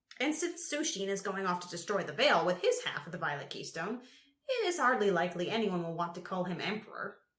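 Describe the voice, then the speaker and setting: A put-on character voice, female-sounding, shaky and rumbling at a middle pitch. It moves at a fairly quick pace. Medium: read story. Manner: quavering, eccentric, grumbling.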